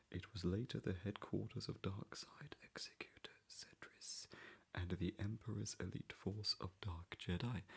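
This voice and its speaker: A man is whispering. His pace is fairly slow. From English Midlands. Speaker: ASMR creator. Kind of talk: ASMR book reading. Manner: whispered and soft-spoken.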